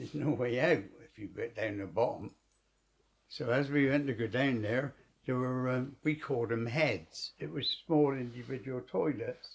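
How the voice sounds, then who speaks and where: With vocal fry and ordinary pitch variation, a man speaks at a fairly slow pace in a medium pitch. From England. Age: 80s+. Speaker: war veteran. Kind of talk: interview answer.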